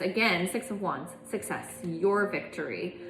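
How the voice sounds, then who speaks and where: A woman talks at a fairly slow pace. Music plays in the background, and room echo is audible. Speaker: tarot reader. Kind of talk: tarot reading.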